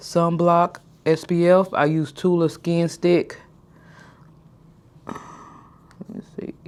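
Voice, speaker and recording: A woman's fairly low, monotone, flat voice at a very slow pace, with long, frequent pauses and big swings in loudness. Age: 30s. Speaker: lifestyle vlogger. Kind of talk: casual vlog talk to camera. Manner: deliberately slowed pace.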